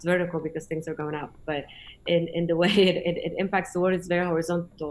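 Speaking very fast at a fairly low pitch, a woman keeps her intonation monotone and flat. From Poland, small mountain town in the Tatras; Poland. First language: Polish. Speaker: space industry executive; guest. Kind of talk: online conference presentation and Q&A. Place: home room. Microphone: video call.

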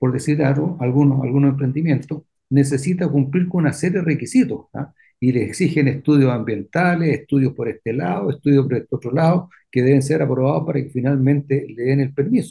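A man's fairly high, somewhat breathy voice with a dark, mellow tone, ordinary pitch variation and a fairly quick pace. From Chile, Viña del Mar. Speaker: lawyer, radio commentator. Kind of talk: radio talk show discussion.

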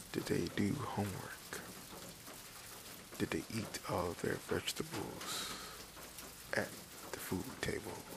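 Whispering in a calm tone, a man speaks at a very slow pace with long, frequent pauses amid noticeable background noise. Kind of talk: ASMR relaxation whisper for sleep. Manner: whispered, slow, calm.

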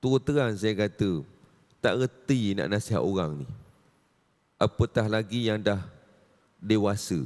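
In a dry, close sound with no echo, a man with a fairly low pitch talks fairly slowly, leaving long, frequent pauses. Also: lively intonation. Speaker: religious teacher. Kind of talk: religious lecture. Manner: animated.

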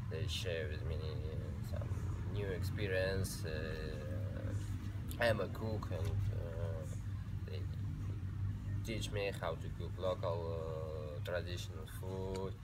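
A man speaks at a very slow pace, with long, frequent pauses. Loud background noise runs underneath. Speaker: guest. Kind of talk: interview answer. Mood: relaxed, jokey. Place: street. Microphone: camera far.

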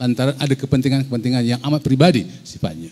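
Speaking at a fairly quick pace, a man uses a dark, mellow tone with ordinary pitch variation. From Malaysia. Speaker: president of a writers' federation; panelist. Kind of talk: panel discussion. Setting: hall with audience. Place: hall. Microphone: handheld.

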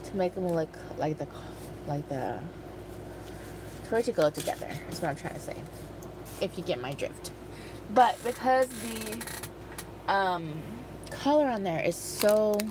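Against noticeable background noise, a woman speaks at a fairly slow pace with long, frequent pauses, the sound dry with no echo. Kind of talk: casual crafting chat. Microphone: phone near.

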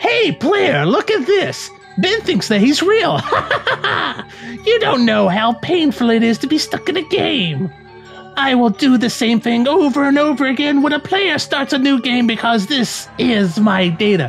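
Clear music plays in the background as a put-on character voice with a fairly high pitch goes at a moderate pace. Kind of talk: comic game dialogue read-aloud. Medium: game stream. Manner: taunting, theatrical.

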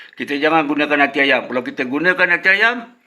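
Here is a man with a fairly high pitch and a bright, sharp tone. He speaks at a moderate pace. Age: old. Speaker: fishing vlogger. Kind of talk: tutorial. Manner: casual.

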